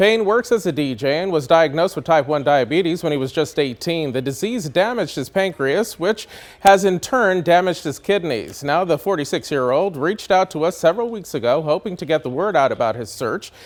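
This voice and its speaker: A man with an American accent talks at a fairly quick pace with high pitch, lively intonation and hardly any pauses. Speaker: TV news reporter and anchor. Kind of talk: live TV news reporter delivery.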